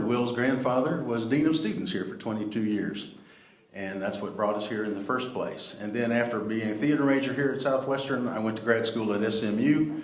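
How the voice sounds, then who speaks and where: Over noticeable background noise and audible room echo, a man with an American accent talks at a fairly quick pace, medium in pitch with ordinary pitch variation. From Texas, Dallas. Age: 60s. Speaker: actor. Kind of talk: panel talk.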